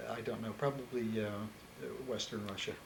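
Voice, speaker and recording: Audible room echo surrounds a man speaking at a moderate pace in an American accent. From US Northeast, Philadelphia. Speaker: interviewee. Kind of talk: oral history interview. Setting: on camera interview. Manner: halting.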